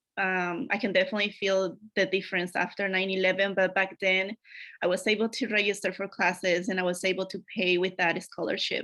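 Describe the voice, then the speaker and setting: Against a quiet background, a woman with a Spanish accent speaks at medium pitch and a fairly quick pace with a bright, sharp tone and monotone, flat intonation. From Mexico, Acapulco, Guerrero. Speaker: academic advisor. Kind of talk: conference presentation.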